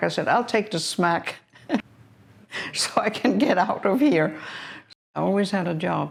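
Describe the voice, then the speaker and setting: A woman's vocal fry at a moderate pace. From Denmark. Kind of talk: interview answer.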